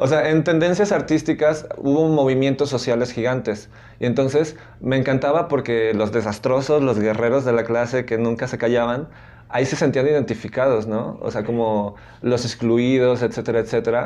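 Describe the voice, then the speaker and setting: A man talks at a moderate pace in a dark, mellow tone. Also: medium pitch for a man, ordinary pitch variation. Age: 30s. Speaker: arts teacher. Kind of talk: interview.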